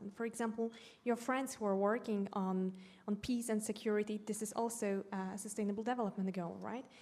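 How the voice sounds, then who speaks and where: A woman's fairly high voice with a Polish accent, fairly even in intonation, at a fairly quick pace. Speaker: educator. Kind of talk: panel discussion.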